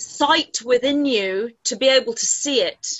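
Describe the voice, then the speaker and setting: The pitch varies in an ordinary way while the pace stays fairly slow. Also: woman. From England. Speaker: spiritual channeler. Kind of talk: casual chat.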